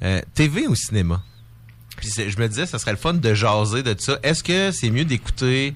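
A man with a plain, everyday voice, medium pitch, lively intonation and a moderate pace. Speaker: radio show guest. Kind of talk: casual chat.

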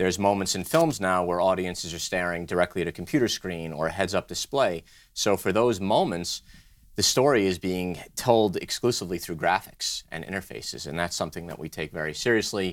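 At a fairly quick pace, a man with an American accent speaks in a very deep, low voice with ordinary pitch variation. The recording is very clean, with a silent background. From New York, Brooklyn. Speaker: design studio co-founder. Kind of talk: interview.

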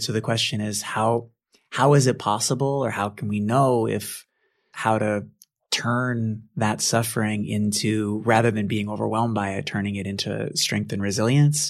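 A man with an American accent, fairly low in pitch, at a moderate pace with ordinary pitch variation. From Boston. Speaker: author, Buddhist teacher. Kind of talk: interview about his book. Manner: humble, gentle.

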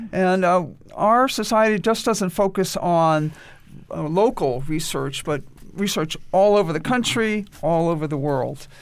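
With an American accent, a woman speaks at a fairly slow pace, her fairly low pitch rising and falling in lively intonation. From New York. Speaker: genealogy society officer. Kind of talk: radio interview. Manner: halting, many fillers.

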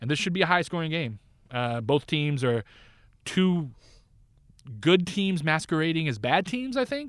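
A man with an American accent speaks at a fairly high pitch and moderate pace, with very wide pitch swings and long, frequent pauses, on a very clean recording with a silent background. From Northern California. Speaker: fantasy football analyst and podcast co-host. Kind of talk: casual chat.

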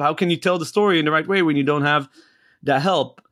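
A man with a fairly high pitch and ordinary pitch variation is captured on a very clean recording against a silent background. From Israel. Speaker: startup CEO. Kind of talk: interview. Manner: halting, with frequent repetitions.

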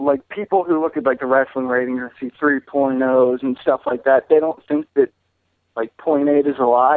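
This man has a fairly high pitch and an ordinary speaking voice. His intonation stays fairly even. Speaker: caller. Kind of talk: casual chat. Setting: phone call.

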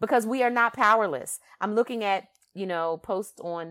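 A woman with a Philadelphia accent talks fairly quickly in an animated tone with ordinary pitch variation, on a very clean recording with a silent background. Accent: Philadelphia, East Coast US. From Philadelphia, US East Coast. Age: 50s. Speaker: podcast host. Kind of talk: monologue podcast commentary. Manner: animated, conversational with frequent fillers.

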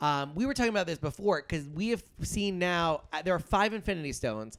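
Here a man speaks with a high pitch and lively intonation. His pace is fairly quick. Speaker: podcast co-host. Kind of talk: casual chat, movie review podcast.

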